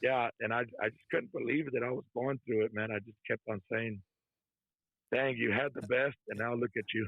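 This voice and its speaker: A man with a Texan accent talks in a medium pitch. His pace is moderate and his intonation fairly even. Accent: Texan American English. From Texas. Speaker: trucker, former prisoner. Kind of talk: interview testimony. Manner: soft-spoken; casual, conversational.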